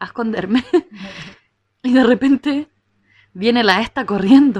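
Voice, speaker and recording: A woman speaks in a high voice at a moderate pace. Her pitch varies in an ordinary way. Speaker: podcast co-host. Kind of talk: casual chat.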